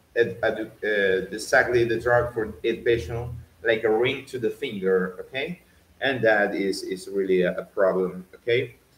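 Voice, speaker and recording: Somewhat breathy and with a Venezuelan accent, the voice moves at a moderate pace with ordinary pitch variation. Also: man, medium pitch for a man. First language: Spanish. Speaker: doctor. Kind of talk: educational talk. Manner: halting, many fillers and repetitions.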